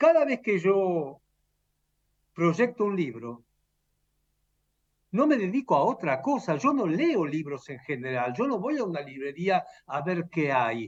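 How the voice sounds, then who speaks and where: Against a quiet background, a man with a high voice speaks fairly slowly with very wide pitch swings and long, frequent pauses. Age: 70s. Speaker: retired professor and author. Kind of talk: interview.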